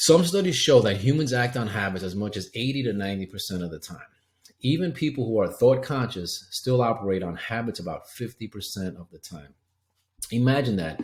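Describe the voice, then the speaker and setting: Lively intonation and big swings in loudness mark this somewhat breathy voice, which moves at a fairly quick pace. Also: man, medium pitch for a man. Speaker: health coach. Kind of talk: webinar presentation. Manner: fast.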